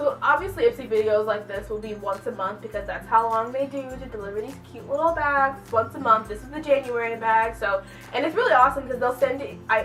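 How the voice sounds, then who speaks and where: Music plays in the background as a woman talks at a very fast pace. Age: 20s. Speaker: beauty vlogger. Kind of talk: casual haul vlog. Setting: at home. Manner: loud when excited; rambling with fillers.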